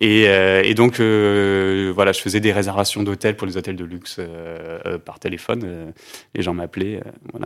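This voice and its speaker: The voice moves at a fairly slow pace in monotone, flat intonation. Its loudness swings widely. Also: man, fairly low pitch for a man. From southeastern France (Alpes-Maritimes). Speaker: music label co-founder. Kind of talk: interview conversation. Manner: halting, many fillers.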